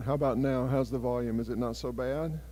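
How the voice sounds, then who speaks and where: A man is speaking, with audible room echo around his voice. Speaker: ministry project leader. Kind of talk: church presentation. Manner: loud.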